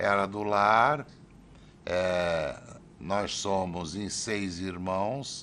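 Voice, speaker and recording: A man's very deep, low voice with a bright, sharp tone, very slow pace and audible room echo. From Brazil, Santos (São Paulo state). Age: 60s. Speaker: city councillor and teacher. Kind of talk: oral history interview.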